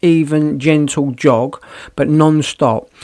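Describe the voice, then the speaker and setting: A man speaks at a fairly high pitch. The recording is very clean with a silent background. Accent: British. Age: 60s. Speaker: podcaster. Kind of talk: casual monologue.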